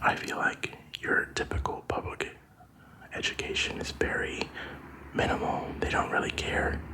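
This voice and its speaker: A man whispers at a moderate pace, leaving long, frequent pauses. Noticeable background noise runs underneath. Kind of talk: ASMR whispering talk to camera. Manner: whispered, soft.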